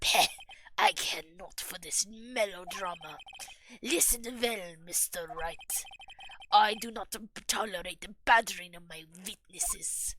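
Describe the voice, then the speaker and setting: A put-on, gravelly character voice at a fairly slow pace, with long, frequent pauses. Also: woman, medium pitch for a woman. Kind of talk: formal, archaic. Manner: haughty, dismissive.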